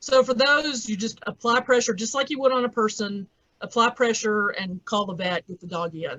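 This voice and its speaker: Her intonation is lively. This woman talks with a Southern US accent. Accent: southern drawl. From US South. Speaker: veterinarian. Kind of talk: lecture.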